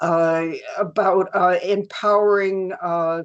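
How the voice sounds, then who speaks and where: In a medium-pitched voice, a woman speaks with monotone, flat intonation. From New York City area. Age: 70s. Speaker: artist. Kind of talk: interview. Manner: halting.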